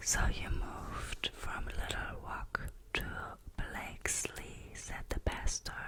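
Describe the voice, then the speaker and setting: Over clearly audible background noise, a whispered voice goes along very slowly. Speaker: ASMR creator. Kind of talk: read story.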